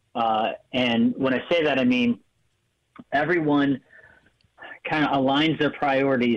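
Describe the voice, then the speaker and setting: Here a man talks at a moderate pace, with a medium pitch and ordinary pitch variation. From Maryland, Frederick County. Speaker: high school soccer coach. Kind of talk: radio interview. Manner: halting, many fillers.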